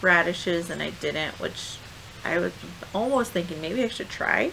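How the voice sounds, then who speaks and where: The voice moves at a fairly slow pace over light background noise. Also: woman. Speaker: home gardener vlogger. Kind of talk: casual vlog chat. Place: garden. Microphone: phone near.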